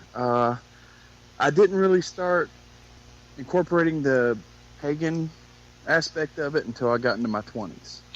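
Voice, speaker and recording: Here is a man with a Southern US accent. He speaks at a moderate pace with lively intonation. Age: young. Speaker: paranormal investigator. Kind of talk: casual interview.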